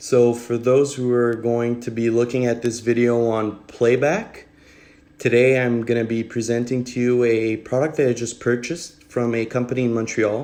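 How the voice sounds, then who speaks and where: In a French accent, a man speaks at a moderate pace in a dark, mellow tone with monotone, flat intonation. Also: medium pitch for a man. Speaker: duct cleaner. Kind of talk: product demonstration livestream. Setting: live video stream. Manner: casual, with frequent fillers.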